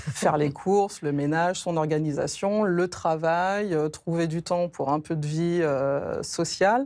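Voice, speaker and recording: A woman speaks at a very slow pace with hardly any pauses, her fairly low pitch showing ordinary variation, on a very clean recording with a silent background. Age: 40s. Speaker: catechumen preparing for baptism. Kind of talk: TV interview testimony. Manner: hesitant, many fillers.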